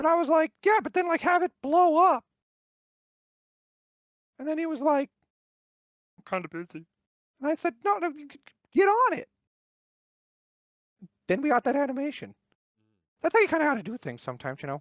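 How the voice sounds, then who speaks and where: High-pitched cartoonish character voice full of long, frequent pauses. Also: fairly quick pace. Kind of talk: interview answer. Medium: puppet.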